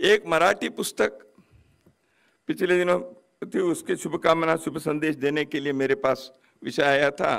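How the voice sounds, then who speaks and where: With long, frequent pauses, a man talks in a fairly high pitch and ordinary pitch variation. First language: Kannada (speaking Hindi). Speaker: guest speaker at a book launch. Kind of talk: formal ceremonial speech.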